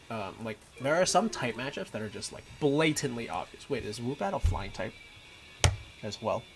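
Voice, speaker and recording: With a Mandarin accent and lively intonation, the speaker leaves long, frequent pauses and swings widely in loudness over noticeable background noise. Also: man. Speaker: gaming streamer. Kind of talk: casual gameplay livestream commentary. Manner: casual, with frequent fillers.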